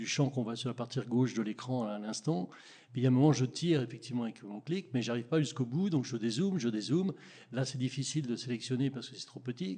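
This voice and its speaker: A man speaks at a very fast pace in a dark, mellow, somewhat breathy tone. His loudness swings widely while his pitch varies in an ordinary way. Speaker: audience member, software user; audience member. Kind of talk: audience question. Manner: halting. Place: meeting room.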